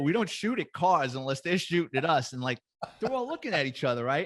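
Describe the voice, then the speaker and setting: This very clean recording, with a silent background, features a man with a New York accent. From New York, the Bronx. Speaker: retired police detective. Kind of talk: casual chat, storytelling.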